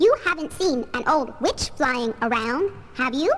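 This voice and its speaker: Using a put-on character voice, a woman speaks at a moderate pace with clear background noise. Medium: audio drama. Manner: laid-back, genial.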